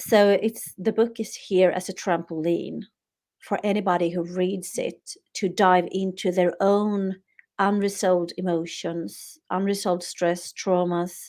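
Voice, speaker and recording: A woman with a Swedish accent speaks at a fairly slow pace and medium pitch, her intonation monotone and flat, in a very clean recording with a silent background. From Sweden. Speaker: author. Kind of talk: interview.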